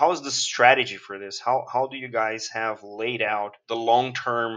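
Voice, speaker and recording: This man has a medium-pitched voice with a Portuguese accent. His intonation stays fairly even. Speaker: podcast host. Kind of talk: interview.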